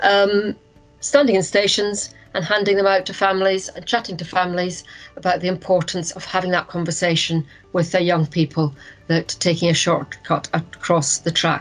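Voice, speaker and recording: With faint music behind her, a woman speaks at a moderate pace in a fairly low pitch with fairly even intonation. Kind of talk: presentation. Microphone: video call.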